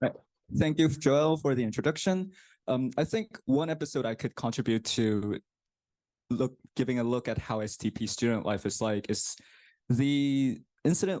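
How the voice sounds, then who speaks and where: With a Korean accent, a man speaks at a medium pitch and moderate pace, his tone dark and mellow and his intonation lively. Long, frequent pauses break up his speech, and the sound is dry and close with no echo against a quiet background. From South Korea. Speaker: graduate student. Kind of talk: presentation.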